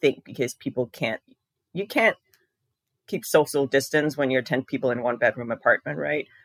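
A woman with an American accent speaks at a very deep, low pitch, the sound dry and close with no echo on a very clean recording with a silent background. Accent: sounds American. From Denmark. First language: Danish. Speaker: diabetes coach and personal trainer. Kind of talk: casual interview chat.

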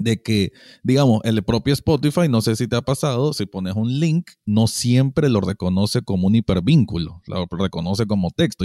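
In a Nicaraguan accent, a man's dark, mellow tone moves with lively intonation over a very clean, silent background, dry and close with no echo. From Managua, Nicaragua. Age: 30s. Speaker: podcast co-host. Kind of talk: casual chat.

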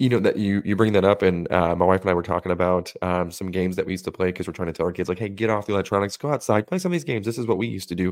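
A very deep, low-pitched man with an American accent, very fast and with hardly any pauses, fairly even in intonation, on a very clean recording with a silent background. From Las Vegas, US West. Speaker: podcast co-host. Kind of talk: casual chat.

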